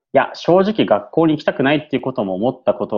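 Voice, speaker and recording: At a fairly quick pace, a man speaks. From Yokohama, Japan. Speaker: former returnee student. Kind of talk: interview. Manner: hesitant with many fillers; polite.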